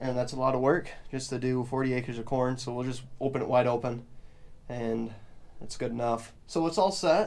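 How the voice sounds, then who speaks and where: In an unremarkable speaking voice, a man talks at a moderate pace and a medium pitch. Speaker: farmer. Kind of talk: casual vlog tutorial.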